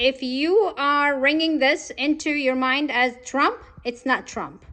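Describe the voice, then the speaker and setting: The voice is raised and projected, with a bright, sharp tone. Behind it, the background is quiet. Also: woman. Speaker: political candidate. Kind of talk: political commentary vlog.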